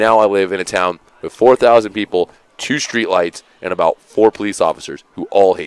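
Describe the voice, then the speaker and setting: A man with an unremarkable speaking voice and an American accent, fairly low in pitch with ordinary pitch variation, at a moderate pace with big swings in loudness, in a dry, close sound with no echo. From Seattle, US Pacific Northwest. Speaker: esports commentator. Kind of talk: casual chat during live stream commentary.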